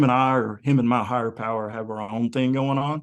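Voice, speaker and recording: This is a man with an ordinary speaking voice and an American accent, pitched at a medium level. He talks at a fairly quick pace with fairly even intonation against a quiet background. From US South, Kentucky. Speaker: music fan and online group admin. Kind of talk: casual chat.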